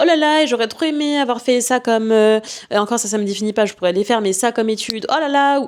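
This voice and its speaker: Animated in tone, a woman speaks at a very fast pace, her pitch high with ordinary variation. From Martinique heritage, lives in Paris 15 years. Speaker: podcast host and coach. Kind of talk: casual podcast monologue. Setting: at home, recording podcast.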